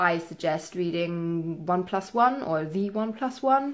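Quiet background behind a woman talking. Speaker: book vlogger. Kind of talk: casual vlog chat. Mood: relaxed, expressive. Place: home room.

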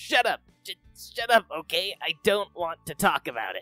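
Someone uses a put-on character voice at a middle pitch and a moderate pace. Faint music plays in the background. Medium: dub. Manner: angry, shouting.

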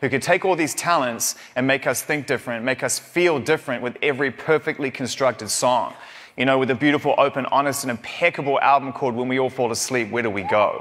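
Very fast speech over a quiet background. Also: man, ordinary pitch variation. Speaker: event host. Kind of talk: stage introduction speech. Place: stage. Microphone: lapel.

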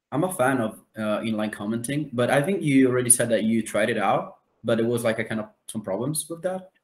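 A man at a fairly quick pace with lively intonation and audible room echo. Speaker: hub editor and researcher. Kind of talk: online community meeting. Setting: video call. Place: home room.

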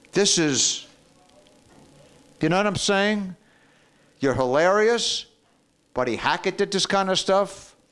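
A man speaks with music in the background. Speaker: comedian giving a video tribute. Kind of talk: comic tribute monologue. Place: bathroom. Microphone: handheld.

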